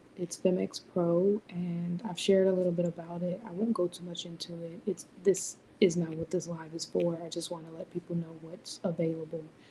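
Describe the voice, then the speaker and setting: Whispering and soft-spoken, a woman talks at a moderate pace with hardly any pauses and big swings in loudness. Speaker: business mentor and live streamer. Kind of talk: live stream chat. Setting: live stream at home at night. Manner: whispering, soft-spoken; halting, many fillers.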